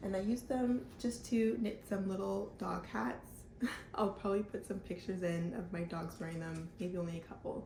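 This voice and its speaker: A somewhat breathy woman's voice with a dark, mellow tone, a moderate pace and ordinary pitch variation, plus audible room echo. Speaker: knitting podcaster. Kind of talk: casual vlog chat. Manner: casual, filler-heavy.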